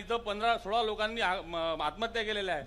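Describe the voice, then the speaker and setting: Projecting his raised voice, a man speaks at an extremely high pitch with ordinary pitch variation. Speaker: politician. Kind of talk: political speech at a rally. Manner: bold, punchy.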